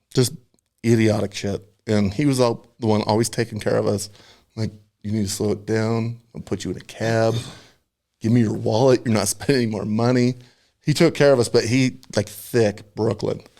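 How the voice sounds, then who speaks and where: Speaking with an American accent, a man with a dark, mellow tone and medium pitch talks at a moderate pace with long, frequent pauses. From Nebraska. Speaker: military veteran, podcast guest. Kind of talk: casual chat. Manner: animated.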